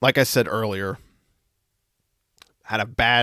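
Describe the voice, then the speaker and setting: A man's fairly low voice, bright and sharp in tone with vocal fry and ordinary pitch variation, sounds dry and close with no echo in a very clean recording with a silent background. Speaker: podcast host. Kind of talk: casual chat.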